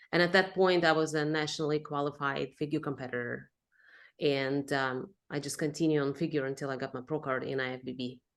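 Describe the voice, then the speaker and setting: Against a quiet background, a woman with a Russian accent speaks at a fairly quick pace in a very deep, low pitch with fairly even intonation. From Russia, moved to Texas at fifteen. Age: 30s. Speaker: pro bikini athlete. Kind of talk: podcast interview.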